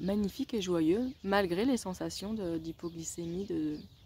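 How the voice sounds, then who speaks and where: Speaking very slowly, a woman has a fairly low pitch and a dark, mellow tone. Her pitch moves in an ordinary way. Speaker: wellness vlogger. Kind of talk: video diary. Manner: animated.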